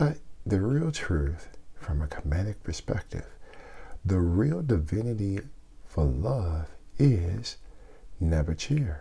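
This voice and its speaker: Soft-spoken and dark, mellow in tone, a man talks at a fairly slow pace with long, frequent pauses and very wide pitch swings. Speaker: spiritual teacher. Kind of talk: casual teaching talk.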